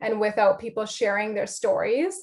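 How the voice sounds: The woman's voice sits at a medium pitch.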